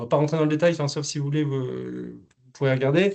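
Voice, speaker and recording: This man has a fairly high pitch, and the background is quiet. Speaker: business software specialist. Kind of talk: webinar presentation. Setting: online webinar. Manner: halting, many fillers and repeats.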